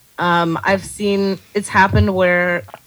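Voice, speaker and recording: A plain, everyday voice with an American accent, at a fairly slow pace. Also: woman. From Texas, El Paso. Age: 30s. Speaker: comedy writer and bartender. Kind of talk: casual interview chat.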